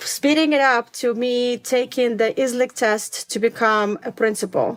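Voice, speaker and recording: A woman's high-pitched voice moves at a moderate pace with ordinary pitch variation. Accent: non-native. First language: not English. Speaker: elementary school principal. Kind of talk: interview conversation.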